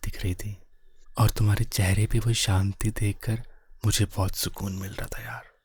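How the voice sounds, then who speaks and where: Soothing, somewhat breathy male voice, fairly low in pitch and flat in a monotone, on a very clean recording with a silent background. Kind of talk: ASMR boyfriend roleplay. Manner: comforting, soothing.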